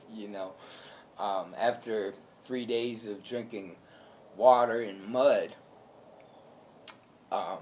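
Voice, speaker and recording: A man's monotone, flat delivery at medium pitch, very slow, with long, frequent pauses and audible room echo. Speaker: alligator attack survivor. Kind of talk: personal testimony. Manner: loud; hesitant, many filler ums.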